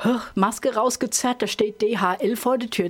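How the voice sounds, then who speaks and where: A woman speaks in an ordinary speaking voice at a fairly high pitch and a moderate pace. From Rhineland-Hesse, Ingelheim am Rhein. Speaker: country singer and band leader. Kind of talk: radio interview. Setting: studio.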